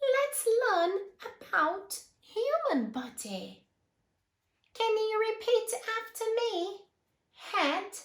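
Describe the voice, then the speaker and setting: Putting on a squeaky character voice with an extremely high pitch and a warm tone, a woman talks at a very slow pace with lively intonation and long, frequent pauses. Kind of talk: read-aloud story for children. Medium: read story. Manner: warm, clear, encouraging.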